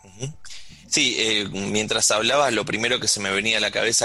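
Noticeable noise runs behind a man whose medium-pitched voice shifts in a normal way. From Argentina. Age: 40s. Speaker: radio host. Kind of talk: radio interview; radio show announcement. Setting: radio studio.

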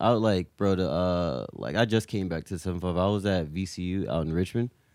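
Pitch varies in an ordinary way as a man talks in an American accent. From Virginia. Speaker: music collective member. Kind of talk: casual chat. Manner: animated.

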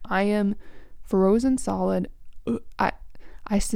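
Someone reads aloud. The reading is plain.

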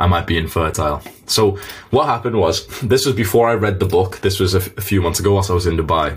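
This man's voice is very deep and somewhat breathy, with ordinary pitch variation. He talks very fast, keeping his loudness very even. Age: 20s. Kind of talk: live interactive online lesson. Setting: video call. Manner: casual, animated.

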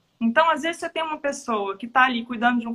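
A woman's raised, projected voice with a bright, sharp tone. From Belo Horizonte, Brazil. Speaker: show business entrepreneur. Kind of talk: casual interview.

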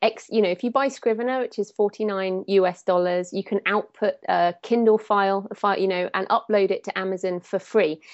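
With an English accent, the speaker goes at a fairly quick pace with hardly any pauses and fairly even intonation. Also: woman, medium pitch for a woman. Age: 30s. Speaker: thriller author. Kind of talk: interview.

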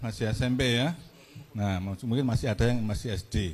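Pitch rises and falls in an ordinary way. The delivery is fairly slow. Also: man. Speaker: local government official. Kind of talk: public talk to students. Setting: stage with audience. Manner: casual.

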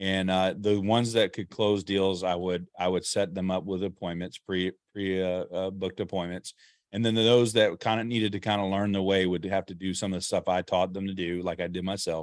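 A man speaks at a very deep, low pitch. His intonation is monotone and flat. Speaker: entrepreneur. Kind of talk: interview conversation.

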